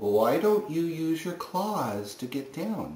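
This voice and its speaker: A man does a put-on character voice at a fairly high pitch and fairly slow pace, with a slight echo. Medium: read story.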